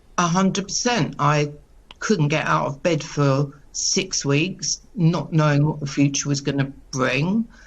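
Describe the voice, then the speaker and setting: A woman speaks with a very deep, low pitch and a somewhat breathy sound. She goes at a fairly slow pace with ordinary pitch variation. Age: 60s. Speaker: caterer, small business owner. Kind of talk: news interview.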